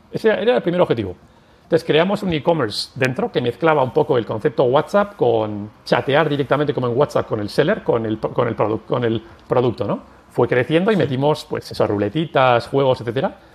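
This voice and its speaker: A man speaks at a fairly quick clip with lively intonation. His pitch sits fairly high for a man. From Basque Country, San Sebastián. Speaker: tech company executive. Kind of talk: interview. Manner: halting.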